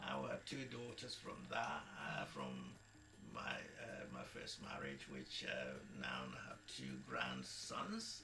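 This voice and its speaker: With music in the background, a man talks at a very slow pace. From Nigeria. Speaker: former navy marine engineer, radio DJ and politician. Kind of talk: interview answer. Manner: hesitant, conversational.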